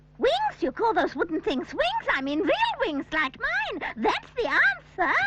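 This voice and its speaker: A cartoonish character voice at an extremely high pitch moves along at a moderate pace. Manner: brisk, instructive.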